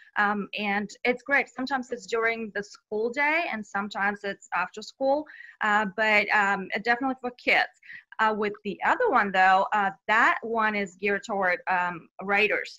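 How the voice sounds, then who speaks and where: A woman speaks with a Bulgarian accent at a fairly high pitch. Her tone is bright and sharp. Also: ordinary pitch variation, moderate pace. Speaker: children's author. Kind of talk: interview.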